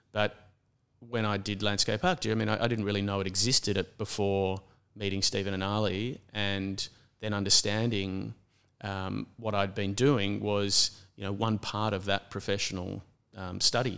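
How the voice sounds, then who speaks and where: On a very clean recording with a silent background, a man with an Australian accent speaks at a moderate pace in monotone, flat intonation. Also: fairly low pitch for a man. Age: 50s. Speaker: landscape architect. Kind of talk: interview conversation.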